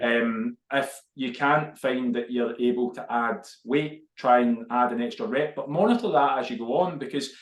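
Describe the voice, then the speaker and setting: This man speaks fairly slowly, his intonation lively. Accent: Glaswegian. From Scotland, Glasgow. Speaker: fitness podcast co-host. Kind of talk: casual chat.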